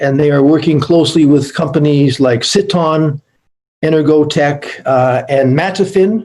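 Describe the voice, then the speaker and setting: A man speaks at a fairly high pitch and a moderate pace. His tone is dark and mellow, his intonation fairly even. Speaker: panel speaker, Canadian trade representative. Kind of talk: conference panel presentation. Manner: hesitant with fillers.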